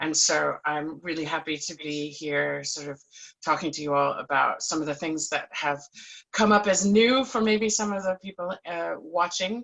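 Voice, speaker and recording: With an American accent, a woman speaks at a moderate pace with a very deep, low pitch. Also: ordinary pitch variation. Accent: non-Scottish, American. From United States. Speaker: panelist, musician. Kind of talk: panel discussion.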